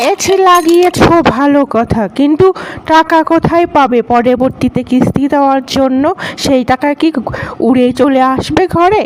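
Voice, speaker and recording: Clear background noise accompanies a high-pitched, cartoonish character voice at a fairly slow pace. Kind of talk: cartoon comedy voicing.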